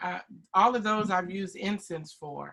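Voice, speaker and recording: Loud and bright with a sharp tone, a woman talks at a medium pitch with fairly even intonation. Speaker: beauty product sales trainer. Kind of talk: online training session.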